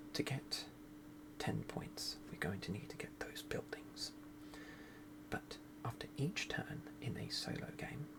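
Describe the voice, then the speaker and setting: Soft-spoken speech comes at a fairly slow pace with long, frequent pauses. Noticeable background noise is present. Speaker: board game video creator. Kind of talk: tutorial.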